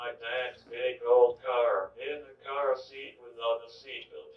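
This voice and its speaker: A man with an American accent speaks very slowly in a somewhat breathy, medium-pitched voice with monotone, flat intonation. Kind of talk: autobiographical testimony, read from written speech.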